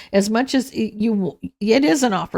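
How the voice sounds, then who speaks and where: A woman speaks at a medium pitch with lively intonation and vocal fry. The recording is very clean, with a silent background. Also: dry, close sound with no echo. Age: 60s. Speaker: tarot reader. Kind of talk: tarot reading. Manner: casual, conversational; halting, with restarts.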